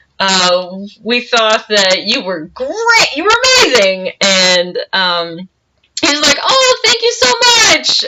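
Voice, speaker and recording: A loud woman's voice swings very widely in pitch. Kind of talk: casual storytelling to camera. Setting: home recording, poor audio. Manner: loud, projecting.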